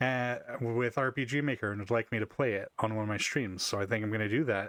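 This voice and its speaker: Recorded very cleanly against a silent background, the speech proceeds at a moderate pace. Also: man. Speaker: streamer. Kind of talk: casual gaming stream chat. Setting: home stream.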